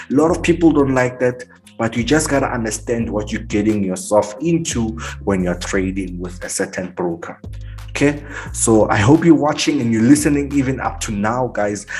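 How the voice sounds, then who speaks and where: A man's voice with very wide pitch swings, music playing in the background. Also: medium pitch for a man, moderate pace. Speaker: forex trading teacher. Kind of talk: tutorial.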